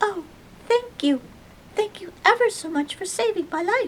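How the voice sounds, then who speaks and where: A put-on character voice, squeaky and extremely high-pitched, at a moderate pace. Background noise is clearly present. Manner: grateful, earnest.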